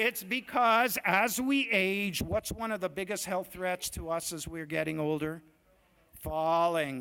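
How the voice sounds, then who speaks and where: In a very clean recording with a silent background, a man with a high-pitched voice speaks in an animated, bright, sharp tone. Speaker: doctor. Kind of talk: lecture. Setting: stage with audience. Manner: fast.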